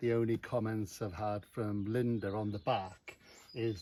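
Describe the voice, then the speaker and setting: With noticeable background noise behind it, the voice keeps a fairly even intonation. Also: man. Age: 60s. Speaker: motorcycle owner. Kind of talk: casual chat. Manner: halting.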